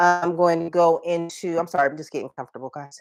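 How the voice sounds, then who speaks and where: A woman speaks with fairly low pitch. Music plays in the background. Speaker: holistic health coach. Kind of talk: livestream talk. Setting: live video stream. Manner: casual, conversational.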